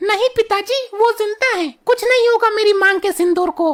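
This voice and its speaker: A woman does a cartoonish character voice, squeaky and extremely high in pitch. She speaks at a moderate pace. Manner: sharp, scolding.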